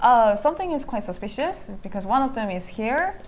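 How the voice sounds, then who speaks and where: With a Korean accent, a woman speaks at a high pitch. Her pitch swings very widely. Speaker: professional go player and commentator. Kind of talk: live game commentary. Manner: halting.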